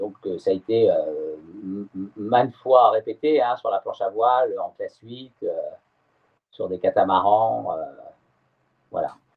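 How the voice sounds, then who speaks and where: A man speaks at a very slow pace, his loudness swinging widely, with long pauses coming often. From France, Brittany (Morbihan). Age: 60s. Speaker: sailor. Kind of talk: interview. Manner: halting, many hesitations.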